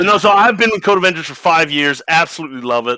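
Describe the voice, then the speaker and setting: Bright, sharp tone with lively intonation and an American accent. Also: man. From United States. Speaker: coding education company strategist. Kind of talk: live online panel chat while gaming. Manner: halting, distracted.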